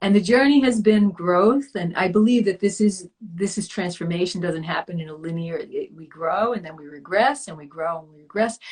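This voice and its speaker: Speaking at a moderate pace with hardly any pauses, a woman with an American accent has a somewhat breathy, medium-pitched voice, ordinary pitch variation and big swings in loudness. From US Northeast (Long Island, New York). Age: 60s. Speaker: yoga teacher and wellness coach. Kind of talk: interview. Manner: halting.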